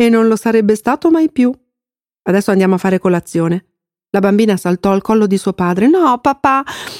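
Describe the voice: Against a quiet background, the speaker does a plain reading aloud.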